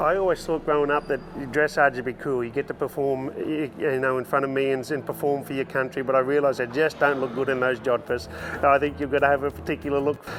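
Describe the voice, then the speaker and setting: Over noticeable background noise, a man with an Australian accent talks at a very fast pace and fairly high pitch with fairly even intonation. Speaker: horse trainer and entertainer. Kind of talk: interview answer.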